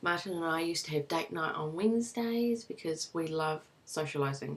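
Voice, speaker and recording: A woman speaks with a New Zealand accent. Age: 20s. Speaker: vlogger, new mother. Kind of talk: casual personal vlog. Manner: casual, lots of fillers.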